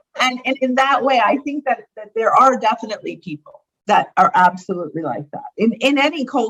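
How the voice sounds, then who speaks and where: With an American accent, a woman speaks at a high pitch and fairly quick pace. Her pitch swings very widely. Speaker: founder of a women's networking organization. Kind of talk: casual interview conversation.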